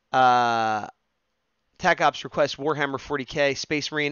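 The clip has a quiet background and a dry sound with no echo. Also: man. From New Jersey, US. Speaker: live-streaming digital artist; streamer. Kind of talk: casual live stream while drawing. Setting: home live stream. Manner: chatty, jokey, improvising. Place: home room. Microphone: headset.

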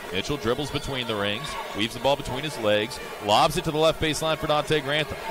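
Very fast speech from a man with a fairly high pitch, noticeable background noise. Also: ordinary pitch variation. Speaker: play-by-play announcer. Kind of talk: live sports commentary. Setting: arena broadcast. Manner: rapid, fluent, clipped play-by-play delivery.

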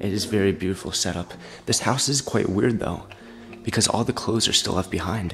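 A man's fairly low voice at a moderate pace, with ordinary pitch variation and faint music in the background. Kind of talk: casual vlog commentary. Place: home room. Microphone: phone near.

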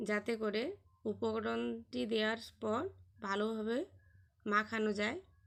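The woman has a fairly high pitch and an unremarkable speaking voice. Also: ordinary pitch variation. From West Bengal, Purba Medinipur (Contai). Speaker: homemaker vlogger. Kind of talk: cooking tutorial.

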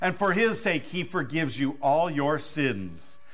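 Fairly slow delivery from a man, pitch varying in an ordinary way. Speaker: pastor leading worship. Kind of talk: liturgy, formal spoken absolution. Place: church.

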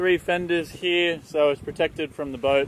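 A man speaks at a fairly quick pace with fairly even intonation. Light background noise sits under a dry sound with no echo. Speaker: sailing vlogger. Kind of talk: casual vlog chat. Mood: relaxed, content. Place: boat. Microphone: phone near.

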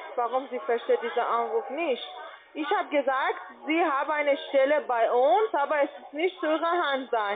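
Over noticeable background noise, a woman talks at a moderate pace in a high pitch. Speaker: telemarketer; caller. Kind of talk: sales pitch. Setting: phone call. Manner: halting. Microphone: phone line.

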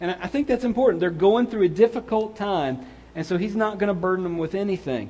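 A man is speaking. His intonation is lively. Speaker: pastor. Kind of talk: sermon. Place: church.

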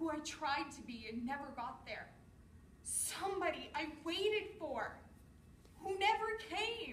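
A woman talks at a fairly slow pace in an extremely high voice with very wide pitch swings. Light background noise and audible room echo sit behind her. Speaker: actor rehearsing a monologue. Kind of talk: dramatic monologue performance. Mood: emotional, weary, resigned. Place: empty room. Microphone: camera far.

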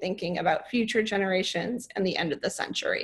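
A woman speaks very fast in a somewhat breathy voice with ordinary pitch variation. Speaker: climate scientist; presenter. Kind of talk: lecture-style presentation. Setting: online webinar. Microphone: video call.

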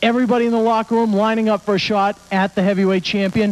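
A man talks at a very fast pace and a high pitch. His intonation is monotone and flat. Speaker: ring announcer. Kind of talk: wrestling backstage interview. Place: hall. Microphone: handheld.

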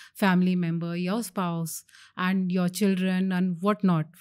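A woman's plain, everyday voice at a medium pitch and a moderate pace. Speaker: oncologist. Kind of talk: interview.

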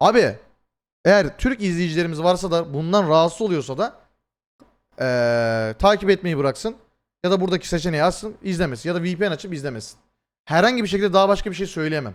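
A man talks in an animated tone at a fairly quick pace. His voice is high in pitch, with lively intonation. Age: 20s. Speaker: streamer. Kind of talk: live stream commentary to chat.

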